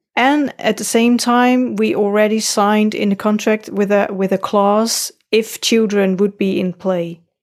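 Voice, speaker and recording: A woman with a Dutch accent speaks at a fairly slow pace with hardly any pauses, fairly high pitch, fairly even intonation and very even loudness. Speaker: podcaster, parent. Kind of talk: casual chat.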